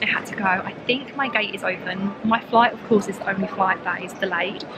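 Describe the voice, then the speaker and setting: The voice moves at a fairly quick pace, the sound dry with no echo, with music playing in the background. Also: woman. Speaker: travel vlogger. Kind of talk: casual vlog chat. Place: station. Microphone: phone near.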